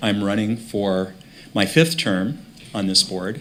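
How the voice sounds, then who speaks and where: Against noticeable background noise, a man with an American accent speaks at a fairly low pitch with ordinary pitch variation. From Minnesota, Brainerd. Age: 60s. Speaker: school board member. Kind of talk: candidate presentation at public meeting. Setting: televised school board meeting.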